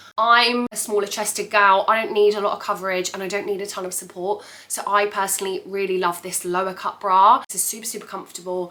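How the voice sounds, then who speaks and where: A woman at medium pitch rushes along very fast with hardly any pauses and big swings in loudness, over noticeable background noise. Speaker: fitness apparel reviewer. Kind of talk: casual talk to camera. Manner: chatty, excited.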